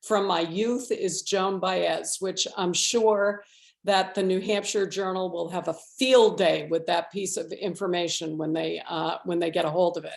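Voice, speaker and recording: The woman uses an ordinary speaking voice, medium in pitch with ordinary pitch variation. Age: 60s. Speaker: state legislator. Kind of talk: panel forum presentation.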